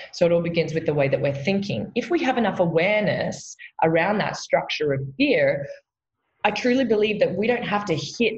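Somewhat breathy, a woman talks at a medium pitch and moderate pace with very wide pitch swings. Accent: Australian. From Australia. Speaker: meditation teacher and coach. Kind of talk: casual chat.

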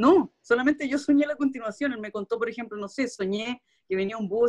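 Recorded with a dry, close sound with no echo, a woman in a Chilean accent talks at a fairly quick pace with ordinary pitch variation. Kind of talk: casual chat.

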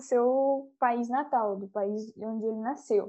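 A woman's high-pitched voice with a dark, mellow tone, fairly even intonation and a fairly slow pace, over a quiet background. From Brazil, Curitiba. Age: young. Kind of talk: casual interview.

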